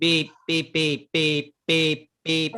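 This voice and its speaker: A put-on character voice is pitched in the middle range. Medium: stage play. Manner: speaks only in beeps.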